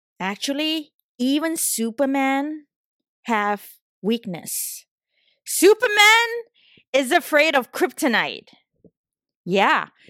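A woman with a Southeast Asian accent speaks very slowly with long, frequent pauses, in a high pitch and a bright, sharp tone with very wide pitch swings. The recording is very clean, with a silent background and a dry, close sound with no echo. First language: not English (English is third language). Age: 30s. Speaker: podcast host. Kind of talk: solo podcast monologue, casual and personal. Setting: San Francisco, recording solo.

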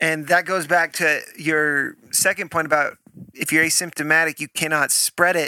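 A loud man with a fairly high pitch and a bright, sharp tone speaks at a moderate pace in a flat monotone, the sound dry and close with no echo. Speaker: podcast co-host. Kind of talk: faith-based casual chat. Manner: intense.

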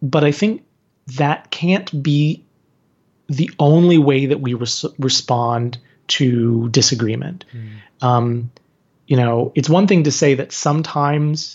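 A man's voice carries some breathiness and moves through ordinary ups and downs in pitch. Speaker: author and activist. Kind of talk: casual interview conversation.

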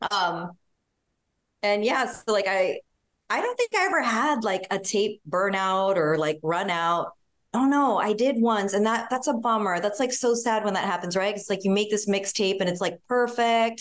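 Over a quiet background, a woman with an unremarkable speaking voice talks at a moderate pace, her pitch medium with ordinary variation. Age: 40s. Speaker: fashion stylist. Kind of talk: casual chat.

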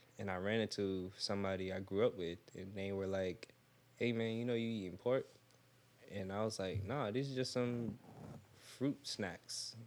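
Speaking at a moderate pace with long, frequent pauses, a man keeps a fairly low pitch and fairly even intonation. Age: 20s. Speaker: plant-based sushi chef. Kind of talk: casual chat.

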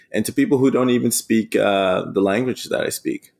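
A man talks with a German accent. The recording is very clean, with a silent background. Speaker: eco adventurer. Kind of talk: casual interview storytelling.

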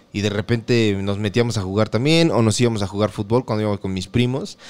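A man with a Mexican accent, medium pitch, and a fairly quick pace. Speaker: podcast co-host. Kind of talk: casual chat.

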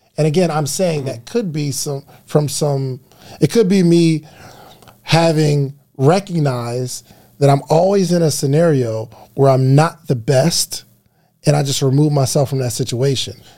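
A somewhat breathy man's voice with a fairly high pitch, ordinary pitch variation, a fairly slow pace and a dark, mellow tone. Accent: American. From New Jersey. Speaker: podcast guest. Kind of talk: casual chat.

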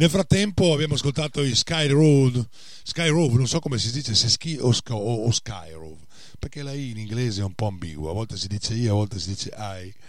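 The pace is moderate. The pitch swings very widely. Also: man. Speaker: radio DJ. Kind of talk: radio show hosting. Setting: radio studio. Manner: hesitant, filler-heavy.

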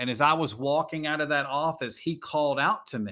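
An American-accented man with a fairly high pitch and an ordinary speaking voice talks at a fairly quick pace. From Virginia. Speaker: pastor. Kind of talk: casual interview.

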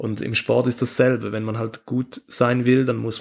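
Each phrase comes out in a monotone, flat intonation, at a moderate pace. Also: man. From Switzerland. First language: Swiss German (speaking German). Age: 20s. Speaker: handball player. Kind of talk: interview. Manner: halting.

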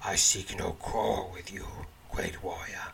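A man uses a put-on character voice that is raspy and growling. It sits at a very deep, low pitch and moves at a fairly slow pace. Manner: wary, terse.

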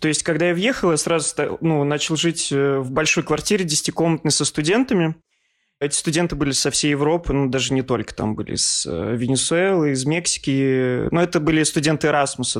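A man speaks in a normal speaking voice at a fairly quick pace, with a fairly high pitch, ordinary pitch variation and very even loudness. The recording is very clean with a silent background. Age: 30s. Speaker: art historian and journalist. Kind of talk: casual interview.

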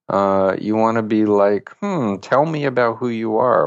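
A man with an ordinary speaking voice and an American accent at a fairly slow pace, dry and close with no echo, over a quiet background. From Queens, New York City. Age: 60s. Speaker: mental health counselor. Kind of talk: interview.

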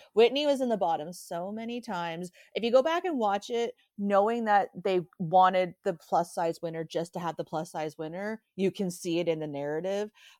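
A woman's medium-pitched, ordinary speaking voice at a moderate pace, with ordinary pitch variation, in a very clean, silent recording that is dry and close with no echo. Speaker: podcast co-host. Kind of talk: casual chat, recapping a TV show.

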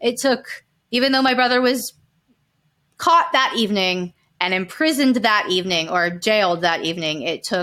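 With an American accent, a woman speaks in a plain, everyday voice at a fairly high pitch and a moderate pace, her intonation lively, on a very clean recording with a silent background. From Calabasas, California. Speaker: survivor and victim advocate. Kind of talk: interview testimony.

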